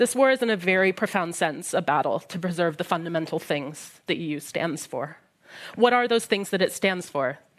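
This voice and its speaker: In a very clean recording with a silent background, a woman with a Midwestern American accent and fairly low pitch talks at a moderate pace with lively intonation. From US Midwest. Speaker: historian. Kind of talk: prepared talk at a panel discussion. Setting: library event with live audience.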